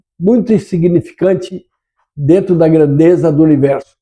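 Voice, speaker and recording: A man speaks with a dark, mellow tone. His pace is moderate and his pitch varies in an ordinary way. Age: 80s+. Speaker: community program host. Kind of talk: casual talk show monologue. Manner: halting, many fillers.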